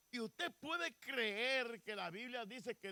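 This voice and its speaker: A man with a bright, sharp tone projects a raised voice at a fairly slow pace, his lively intonation heard in a dry, close sound with no echo. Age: 70s. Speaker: pastor. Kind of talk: sermon.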